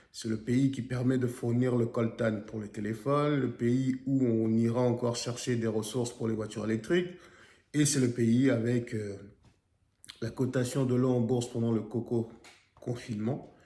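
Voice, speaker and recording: A man's medium-pitched, dark and mellow voice, monotone and flat, at a fairly slow pace. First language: a Congolese national language (speaking French). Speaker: YouTube commentator on history and geopolitics. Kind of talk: video commentary monologue.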